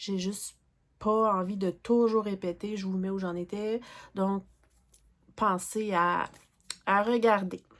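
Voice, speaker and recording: A woman in a Quebec accent, medium pitch, monotone and flat, at a very slow pace with long, frequent pauses, in a very clean recording with a silent background. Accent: Québécois French. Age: 40s. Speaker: crafting YouTuber. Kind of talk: casual vlog talk. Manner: hesitant, many fillers.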